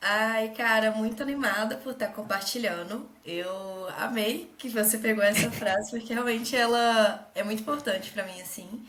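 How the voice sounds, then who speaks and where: A woman's fairly high voice at a moderate pace, with ordinary pitch variation and hardly any pauses, amid noticeable background noise and audible room echo. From Brazil, Minas Gerais. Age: 20s. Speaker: tech manager and investor. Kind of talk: casual interview.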